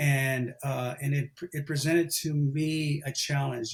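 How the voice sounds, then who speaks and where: A somewhat breathy man with fairly even intonation. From New Mexico, Los Lunas. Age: 60s. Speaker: former elite middle-distance runner. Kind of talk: podcast interview. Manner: hesitant, many fillers and repetitions.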